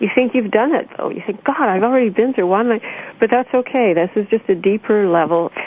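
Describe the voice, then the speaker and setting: Fairly quick, fairly high-pitched speech from a woman amid noticeable background noise. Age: 50s. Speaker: spiritual author. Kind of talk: interview.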